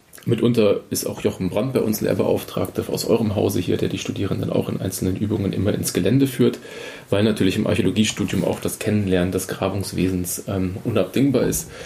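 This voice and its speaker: Against noticeable background noise, a man talks at a fairly quick pace and fairly low pitch, with ordinary pitch variation. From Bavaria (Munich), with Spanish and East Frisian parents. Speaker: archaeology postdoc. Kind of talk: podcast interview.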